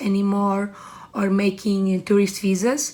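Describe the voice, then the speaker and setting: A woman speaks in a Portuguese accent. Her pitch is medium and her pace fairly slow. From Portugal. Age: 20s. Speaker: trade commissioner. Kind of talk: interview. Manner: halting.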